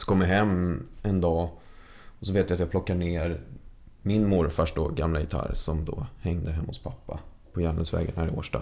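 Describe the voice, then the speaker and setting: At a moderate pace, a man talks in a very deep, low pitch with a dark, mellow tone and fairly even intonation. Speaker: musician in a tribute band. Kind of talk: casual chat.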